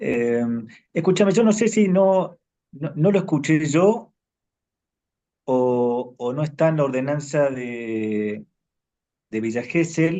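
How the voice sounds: A man with a dark, mellow tone and fairly high pitch, slow pace, lively intonation and long, frequent pauses.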